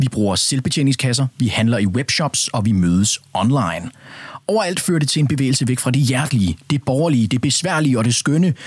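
An unremarkable speaking voice from a man at medium pitch, with lively intonation, a fairly quick pace, very even loudness, and a dry, close sound with no echo. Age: young. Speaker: radio host. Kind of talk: radio discussion. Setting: studio.

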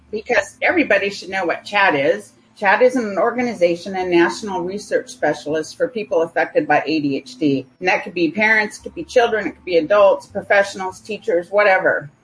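A woman speaks with an American accent and lively intonation over noticeable background noise. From California. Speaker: software developer. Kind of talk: interview.

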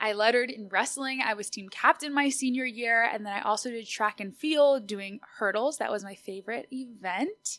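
An animated woman's voice with an American accent. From Austin, Texas. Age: 20s. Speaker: podcast host. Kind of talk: solo podcast monologue.

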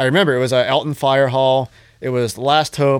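An ordinary speaking voice with an American accent at a fairly quick pace, on a very clean recording with a silent background. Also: man. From Johnstown, Pennsylvania. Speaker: hardcore musician and show promoter. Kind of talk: casual chat. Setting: in person at host's place.

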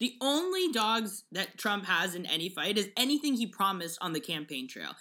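A woman speaks with an American accent. Her tone is animated. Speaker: podcast co-host. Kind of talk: casual chat. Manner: animated, frequent laughter.

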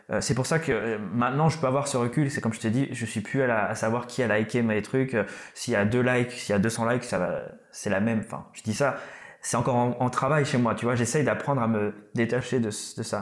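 This man has a normal speaking voice at a medium pitch with ordinary pitch variation. He talks at a fairly quick pace. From Réunion, Malagasy heritage. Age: 30s. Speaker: rapper. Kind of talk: casual interview.

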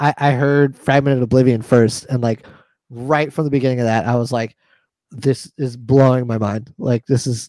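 Speaking in a normal speaking voice with an American accent, a man keeps a medium pitch, a moderate pace, and fairly even intonation. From New York. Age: 30s. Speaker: metal drummer. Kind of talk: casual chat.

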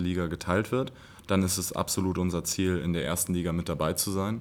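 With fairly even intonation, a man talks at a moderate speed in a very deep, low pitch. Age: 20s. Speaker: basketball coach. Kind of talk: interview.

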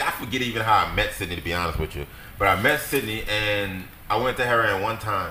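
Lively intonation and a fairly quick pace come through amid noticeable background noise and audible room echo. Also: man. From New Orleans, Louisiana. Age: 30s. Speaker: battle rapper. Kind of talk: casual chat.

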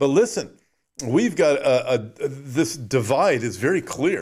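Over a silent background in a very clean recording, a man speaks with a Californian accent. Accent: Californian American. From Southern California. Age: 60s. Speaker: pastor and Bible prophecy podcast host. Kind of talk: livestream sermon with news commentary.

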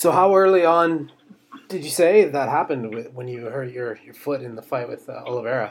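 A man with a normal speaking voice talks at a fairly quick pace and a fairly high pitch. His intonation is lively, with big swings in loudness. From Canada. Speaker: MMA podcast host. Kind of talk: interview.

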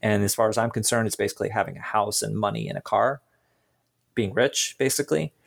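A man speaks at a very fast pace with vocal fry. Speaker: podcast host. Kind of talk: interview conversation with scripted intro.

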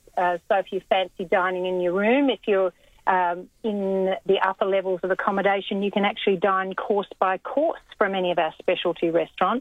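This speaker is a woman with an Australian accent. She talks at a fairly quick pace. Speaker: cruise line representative. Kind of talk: radio interview, casual chat. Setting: phone call.

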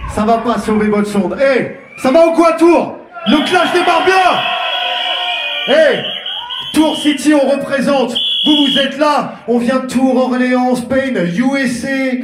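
Crowd noise sits behind a man speaking at a very slow pace, with audible room echo. His pitch is extremely high, with ordinary variation. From France, Tours. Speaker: sound system MC. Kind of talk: soundclash MC talk. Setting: stage with audience. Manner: animated.

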